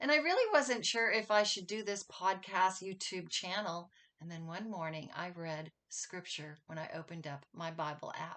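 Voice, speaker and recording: Bright and sharp in tone, the voice moves at a moderate pace with lively intonation and big swings in loudness. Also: woman, medium pitch for a woman. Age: 60s. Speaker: YouTube host sharing faith stories. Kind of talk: testimony.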